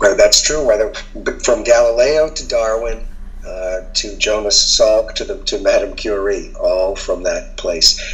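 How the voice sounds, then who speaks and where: Over music in the background, a man with an American accent speaks at a fairly slow pace. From Boston. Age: 60s. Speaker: journalist. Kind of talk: casual chat.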